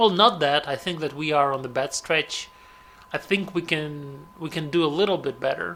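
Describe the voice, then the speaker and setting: Over noticeable background noise, a man speaks with a Russian accent. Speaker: gaming commentator. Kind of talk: gameplay commentary. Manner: halting.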